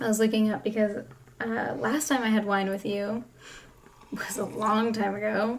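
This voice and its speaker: A woman's fairly high voice at a fairly slow pace, with audible room echo and noticeable background noise. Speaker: podcast co-host, parent. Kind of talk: casual chat. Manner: hesitant. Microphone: echoey sound.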